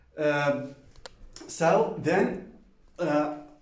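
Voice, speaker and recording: Noticeable background noise and audible room echo accompany a man whose intonation is monotone and flat. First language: Spanish. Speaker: polyglot language vlogger. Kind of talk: casual personal talk to camera. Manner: halting with many fillers; informal, colloquial.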